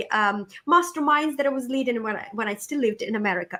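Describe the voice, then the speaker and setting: In a Ukrainian accent, a woman speaks with very wide pitch swings. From Ukraine. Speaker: motivational speaker and coach. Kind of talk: podcast interview. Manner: animated.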